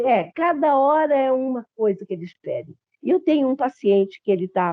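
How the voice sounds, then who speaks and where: Very wide pitch swings in a woman's high voice. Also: moderate pace. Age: 70s. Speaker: psychologist. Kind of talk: panel discussion.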